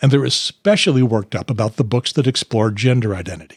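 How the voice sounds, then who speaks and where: Somewhat breathy and fairly quick, the voice has lively intonation in a very clean, dry, close recording with a silent background and no echo. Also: man. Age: 70s. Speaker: political party podcast host. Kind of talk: casual chat and scripted outro. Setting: home studio.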